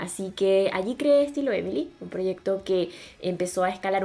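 A woman's fairly low voice at a fairly quick pace, with lively intonation. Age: 20s. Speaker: podcast co-host, beauty influencer. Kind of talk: casual chat.

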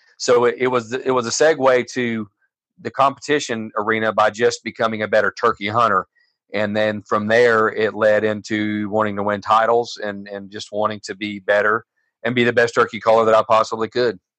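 A man with an American accent at a fairly quick pace, bright, sharp tone and monotone, flat intonation, in a dry, close sound with no echo against a quiet background. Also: medium pitch for a man. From Florida. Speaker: turkey calling champion. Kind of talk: interview.

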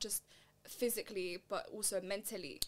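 Speaking with a London accent, a woman uses a medium pitch and fairly even intonation. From East London. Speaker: podcast host. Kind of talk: casual chat.

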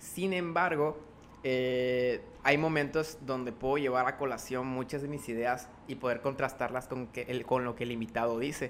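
A man speaks at a moderate pace and a medium pitch. His intonation is fairly even. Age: young. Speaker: podcaster and author. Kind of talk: interview. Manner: talkative.

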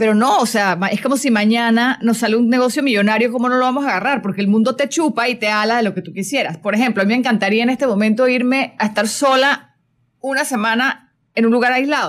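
A woman talks at a very fast pace with very even loudness. Her pitch is fairly high and varies in an ordinary way. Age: 40s. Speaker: spiritual coach and radio host. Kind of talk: casual chat. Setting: radio studio.

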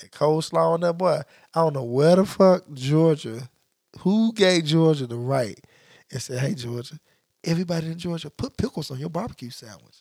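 Speaking at a moderate pace, a man with a fairly high pitch uses lively intonation and big swings in loudness. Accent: Memphis. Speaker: podcast co-host. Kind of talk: casual chat. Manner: animated.

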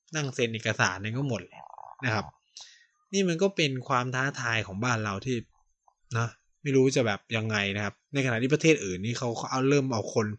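A man talks at medium pitch with lively intonation. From Thailand. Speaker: podcast host. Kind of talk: solo podcast monologue. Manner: casual, halting with fillers.

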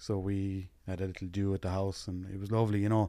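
A Limerick accent in a dark, mellow tone. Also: man. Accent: Limerick Irish, noticeable. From West Limerick, Ireland. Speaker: widowed single dad, interviewee. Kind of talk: casual interview, personal conversation. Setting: studio.

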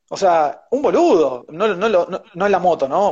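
A man with an Argentine accent lets his pitch swing very widely. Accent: Rioplatense Argentine Spanish. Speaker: chef and baker. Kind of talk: interview. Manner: animated.

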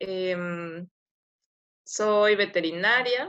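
A woman with fairly even intonation. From Ecuador. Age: 20s. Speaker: podcast co-host, veterinarian. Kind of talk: casual self-introduction.

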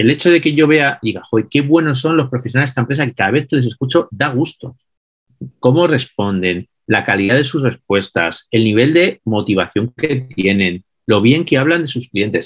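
A man's plain, everyday voice, a plain, everyday voice at medium pitch, moderate in pace and lively in intonation. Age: 50s. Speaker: business consultant and author. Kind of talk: interview.

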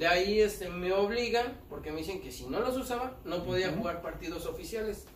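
A man with a high pitch and ordinary pitch variation talks at a fairly quick pace with hardly any pauses and big swings in loudness, amid audible room echo and noticeable background noise. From Mexico City (Tepito). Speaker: street performer, amputee footballer. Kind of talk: casual interview.

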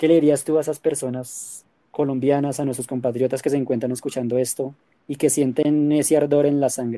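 Delivered at a fairly quick pace in a monotone, flat intonation, the voice has a dark, mellow tone on a very clean recording with a silent background. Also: man, fairly high pitch for a man. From Colombia. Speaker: podcast host. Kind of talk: interview conversation.

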